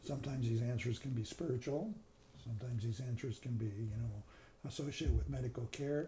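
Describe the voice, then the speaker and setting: Very fast pace with long, frequent pauses from a man, medium in pitch, somewhat breathy, with a dark, mellow tone and ordinary pitch variation, over light background noise. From Canada. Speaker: neurosurgeon. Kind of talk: casual reminiscing conversation. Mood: calm, reflective. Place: kitchen. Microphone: lapel.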